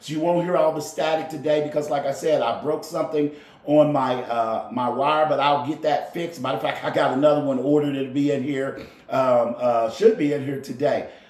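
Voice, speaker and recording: Fairly high male voice at a fairly quick pace, with ordinary pitch variation, audible room echo and noticeable background noise. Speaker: golf instructor and podcaster. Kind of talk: casual monologue podcast. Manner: loud.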